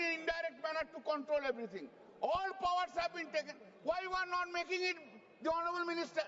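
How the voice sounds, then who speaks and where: A man talks at a very fast pace. His pitch is extremely high. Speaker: member of parliament and senior lawyer. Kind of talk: parliamentary speech. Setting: parliament chamber. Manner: animated.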